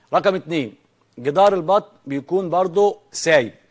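Man at a moderate pace against a quiet background. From Egypt. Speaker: veterinarian TV host. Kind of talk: educational TV program. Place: studio. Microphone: lapel.

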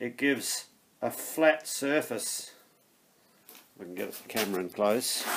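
This man talks at a fairly slow pace. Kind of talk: tutorial. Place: workshop. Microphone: phone near.

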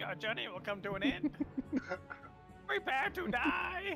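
A man puts on a character voice at an extremely high pitch, speaking at a moderate pace over clear music in the background. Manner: menacing, threatening.

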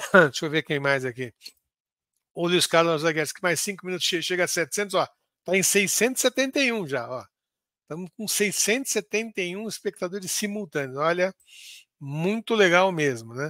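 Speaking at a very slow pace, a man with a high pitch shows big swings in loudness. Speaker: football podcast host. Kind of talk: casual football talk livestream; reading club instructions aloud. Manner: halting.

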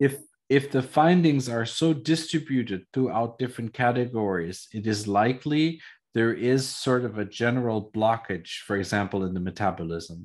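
Lively intonation marks this man's fairly slow speech. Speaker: trainer on epigenetic testing device. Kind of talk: lecture via interpreter. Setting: video call. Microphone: video call.

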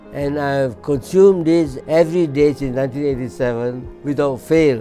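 Ordinary pitch variation, with faint music in the background. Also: man. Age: 80s+. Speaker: scientist, palm oil chemist. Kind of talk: testimonial interview answer. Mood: warm, reflective, engaged. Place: office.

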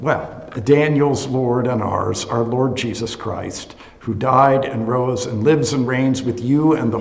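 In a room with audible echo, a man speaks fairly slowly with monotone, flat intonation. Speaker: associate pastor. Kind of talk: bible study teaching and prayer. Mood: relaxed, good-humored. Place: classroom. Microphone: webcam.

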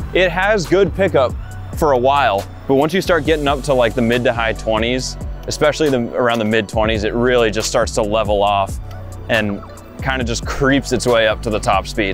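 A man talking at a fairly quick pace, dry sound with no echo, clear music in the background. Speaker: product reviewer. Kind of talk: review commentary while riding. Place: street. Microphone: phone near.

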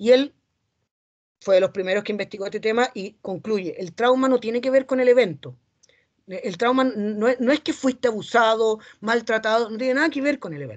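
With little behind him but a quiet background, a man speaks at a fairly quick pace. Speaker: psychologist, seminar speaker; speaker. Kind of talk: lecture. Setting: academic seminar. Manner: fast. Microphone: webcam.

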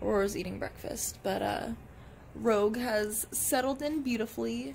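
Over light background noise, a woman is speaking. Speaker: pet vlogger. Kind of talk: casual vlog chat. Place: home room. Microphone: phone near.

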